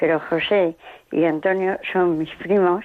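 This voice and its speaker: A woman speaks in a fairly low, monotone voice with flat intonation over noticeable background noise. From Spain, Salamanca province. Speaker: radio listener caller. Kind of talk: phone-in testimony. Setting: phone call.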